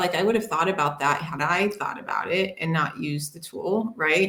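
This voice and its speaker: A woman with an American accent talks at a moderate pace at medium pitch. She has an ordinary speaking voice. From United States. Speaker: HR tech panelist. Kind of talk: casual panel discussion.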